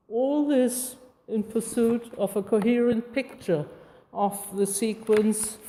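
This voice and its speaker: Very slowly, a woman speaks with a non-native accent and ordinary pitch variation. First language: not English. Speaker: artist giving a talk. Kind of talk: public lecture, largely read aloud. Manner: reading from script.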